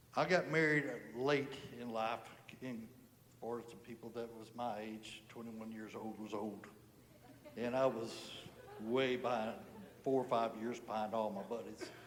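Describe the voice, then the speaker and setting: A man's medium-pitched voice with an American accent, fairly slow and fairly even in intonation, with long, frequent pauses, big swings in loudness and audible room echo. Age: 60s. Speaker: churchgoer giving testimony. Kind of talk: testimony. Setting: church service.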